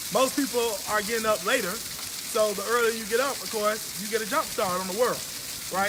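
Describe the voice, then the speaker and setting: Over noticeable background noise and audible room echo, a man talks at a very fast pace in a raised, projected voice, high in pitch with ordinary pitch variation. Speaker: business coach. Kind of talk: live stream talk. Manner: loud.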